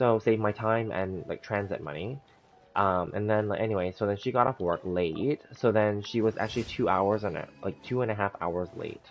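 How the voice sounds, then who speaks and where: A man with a fairly low pitch and ordinary pitch variation speaks while music plays in the background. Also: moderate pace. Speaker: gaming livestreamer. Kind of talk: casual chat. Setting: livestream. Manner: halting, with many fillers.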